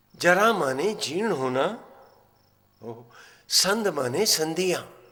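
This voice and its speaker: A man with a non-native accent speaks in a high pitch with lively intonation. Audible room echo surrounds his voice. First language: not Marathi (speaking Hindi). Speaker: religious storyteller. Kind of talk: religious discourse. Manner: animated.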